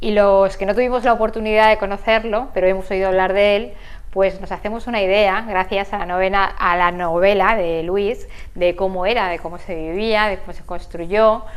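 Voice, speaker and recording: At a moderate pace, a woman with an ordinary speaking voice talks at a medium pitch with fairly even intonation. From Spain, Segorbe. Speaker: TV interviewer. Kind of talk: interview.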